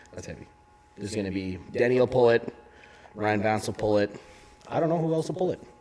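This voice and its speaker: Noticeable background noise sits under a man's medium-pitched voice at a very fast pace. His intonation is lively, broken by long, frequent pauses. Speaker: strongman competitor and podcast co-host. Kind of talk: casual chat. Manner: loud. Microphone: volume turned down, too quiet at first.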